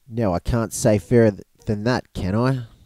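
In an Australian accent, a man speaks at a fairly low pitch and moderate pace with a dark, mellow tone and fairly even intonation, in a dry, close, very clean recording with a silent background and no echo. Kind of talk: audiobook reading.

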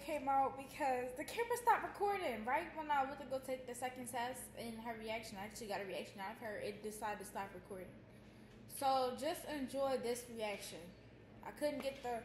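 Over light background noise and audible room echo, a woman talks at a fairly quick pace with a high pitch. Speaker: vlogger. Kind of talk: casual vlog chat. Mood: mildly frustrated. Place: home room. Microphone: phone near.

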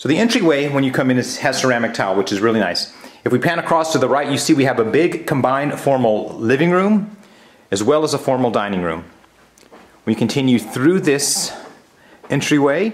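Using lively intonation, a man talks at a fairly quick pace. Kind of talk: property tour commentary. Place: empty room. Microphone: phone near.

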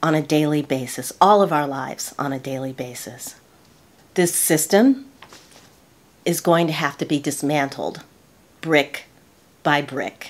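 With an American accent and a very deep, low pitch, a woman speaks at a fairly slow pace with ordinary pitch variation and long, frequent pauses. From United States. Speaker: lifestyle YouTuber. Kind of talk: casual talk to camera. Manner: earnest, reflective. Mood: earnest, reflective. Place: home room.

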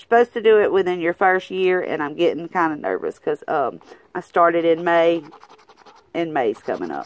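A woman speaks at a moderate pace in an upbeat tone. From Southern US. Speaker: lottery scratch-off YouTuber. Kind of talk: casual talk to camera. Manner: chatty, upbeat.

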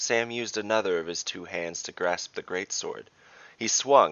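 A natural voice, reading aloud.

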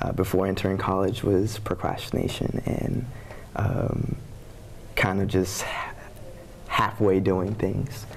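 A man's fairly low voice with an American accent, very slow pace and fairly even intonation, over light background noise. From Texas, Houston. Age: 20s. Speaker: college student, pageant contestant; guest. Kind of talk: interview. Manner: halting. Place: studio. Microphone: lapel.

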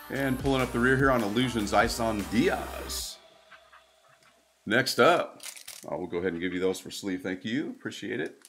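Faint music in the background, long and frequent pauses, ordinary pitch variation and a moderate pace. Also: man. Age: 60s. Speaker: card breaking live streamer. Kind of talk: live stream commentary. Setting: live stream. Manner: animated. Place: studio.

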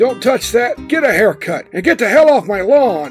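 With faint music in the background, a man in a put-on character voice uses an extremely high pitch and very wide pitch swings at a moderate pace. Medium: voice reel. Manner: grumpy, cranky.

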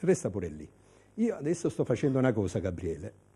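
A man speaks with vocal fry and a dark, mellow tone, his pitch swinging very widely. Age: 60s. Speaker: TV food and culture host. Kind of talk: casual hosted TV segment. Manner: animated.

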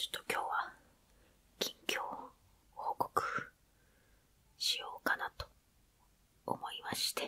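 Someone whispers at a fairly slow pace, with long, frequent pauses. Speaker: ASMR creator. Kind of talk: ASMR whispered casual talk. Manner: whispered. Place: home room. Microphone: phone near.

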